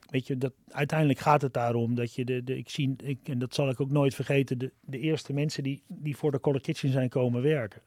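At a fairly quick pace, a man speaks with hardly any pauses. His pitch is medium and his intonation fairly even. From Amsterdam, Netherlands. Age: 50s. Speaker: social entrepreneur, restaurant founder. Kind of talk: podcast interview. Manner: halting, many fillers and repetitions.

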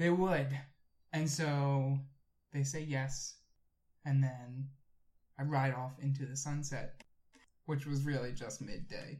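A somewhat breathy man's voice, fairly high in pitch, monotone and flat, at a very slow pace with long, frequent pauses. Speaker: podcast co-host. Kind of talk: casual chat.

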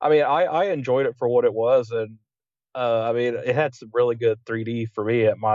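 Talking at a moderate pace with an American accent, a man uses an unremarkable speaking voice at medium pitch with fairly even intonation. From West Virginia, Huntington. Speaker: podcast co-host, film fan. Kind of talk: casual chat.

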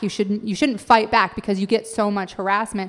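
With an American accent, a woman speaks fairly quickly in a fairly high pitch and a plain, everyday voice. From Idaho. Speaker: comedian and author. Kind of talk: casual chat. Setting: stage with audience.

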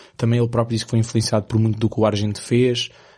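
Speaking in a monotone, flat way, a man has a dark, mellow tone at medium pitch. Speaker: film podcast co-host. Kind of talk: casual chat.

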